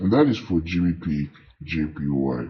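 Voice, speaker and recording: This man speaks with a very deep, low pitch and fairly even intonation. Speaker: forex trader and signals seller. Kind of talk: tutorial; sales pitch. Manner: halting, self-correcting.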